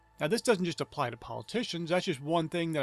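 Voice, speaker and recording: With an American accent, the speaker uses ordinary pitch variation as music plays in the background. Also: man. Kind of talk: sermon-style talk to camera.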